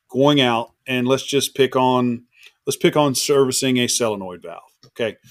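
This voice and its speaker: The speaker is a man with a Southern US accent. He talks at a medium pitch. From Florida, Eustis. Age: 40s. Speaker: industrial refrigeration contractor. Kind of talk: casual chat.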